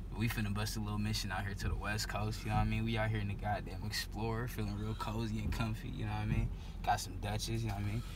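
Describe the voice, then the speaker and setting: A man speaks at a very fast pace with a very deep, low pitch and monotone, flat intonation. Noticeable background noise can be heard. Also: dry sound with no echo. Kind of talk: casual vlog chat. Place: car.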